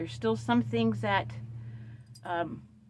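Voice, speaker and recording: A woman speaks with vocal fry. Her pace is moderate. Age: 60s. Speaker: vlogger. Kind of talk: casual chat.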